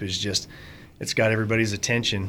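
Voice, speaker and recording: Medium-pitched male speech in an American accent. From Fremont County, Wyoming. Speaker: hunter and conservation volunteer. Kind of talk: casual interview.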